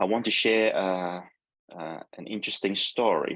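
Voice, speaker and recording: Speaking with a Hong Kong accent, a man talks at a fairly slow pace in a fairly low voice over a quiet background. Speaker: neurologist. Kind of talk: seminar talk with slides. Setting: video call.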